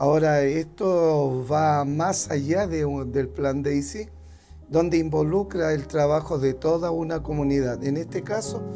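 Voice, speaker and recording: Over music in the background and audible room echo, a man speaks at a fairly slow pace with a fairly high pitch and ordinary pitch variation. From Chile, Valparaíso. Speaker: mechanical and industrial safety engineer. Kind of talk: interview. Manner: hesitant with fillers.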